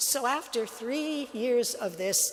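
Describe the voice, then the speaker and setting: With music in the background and audible room echo, a woman speaks with lively intonation. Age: 80s+. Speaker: religious sister and speaker. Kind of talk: talk to a church audience. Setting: church with live audience. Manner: conversational, with fillers and restarts.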